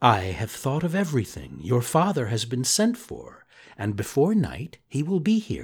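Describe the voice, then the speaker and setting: A man uses a put-on character voice at medium pitch, speaking at a moderate pace in a very clean recording with a silent background. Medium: read story. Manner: gentle, warm.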